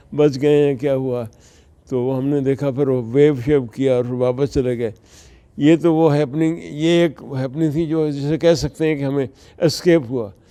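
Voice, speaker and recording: A man speaks with a dark, mellow tone, a fairly high pitch and fairly even intonation. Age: 80s+. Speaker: businessman, author and marketer. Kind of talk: interview answer.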